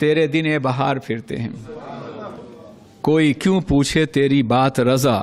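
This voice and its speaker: A man's passionate delivery over noticeable background noise. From Manchester, UK (speaker based there). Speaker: Islamic scholar giving a religious sermon. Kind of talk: Urdu religious sermon (bayan) to a live audience. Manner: passionate, oratorical, with audience responses.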